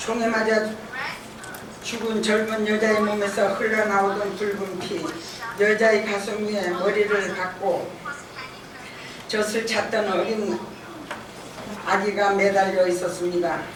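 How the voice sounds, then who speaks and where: A woman's medium-pitched, monotone voice, very slow with long, frequent pauses, over noticeable background noise. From Jeju, South Korea. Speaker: massacre survivor and bereaved family association president. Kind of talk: testimony speech at a symposium.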